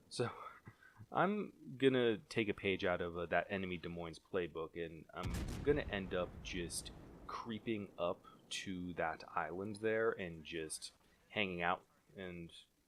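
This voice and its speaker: A man with a very deep, low pitch, at a fairly slow pace with long, frequent pauses. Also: ordinary pitch variation. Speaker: gameplay commentator. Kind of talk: gameplay replay commentary. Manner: halting, many fillers and restarts.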